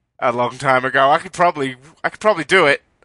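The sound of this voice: A man with an Australian accent speaks at a medium pitch with ordinary pitch variation. The sound is dry and close with no echo.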